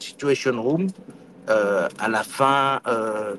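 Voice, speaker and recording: A man's medium-pitched voice with ordinary pitch variation, dry and close with no echo. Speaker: former senator, election observer. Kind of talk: interview. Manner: halting, many hesitations.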